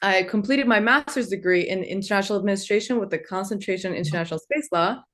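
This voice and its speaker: Against a quiet background, a woman speaks at a medium pitch in a Turkish accent. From Turkey (Istanbul), moved to US at nine. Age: 20s. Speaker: law student and entrepreneur, book contributor. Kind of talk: webinar talk.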